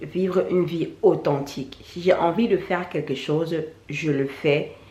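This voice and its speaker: A woman with a fairly low, somewhat breathy voice talks amid audible room echo. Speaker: YouTuber, natural hair vlogger. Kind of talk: vlog monologue. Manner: halting, repetitive.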